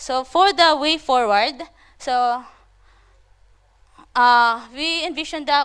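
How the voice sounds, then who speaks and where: On a very clean recording with a silent background, a woman with a high pitch and ordinary pitch variation speaks with long, frequent pauses. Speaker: conference presenter, landslide researcher. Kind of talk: conference presentation. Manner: fast.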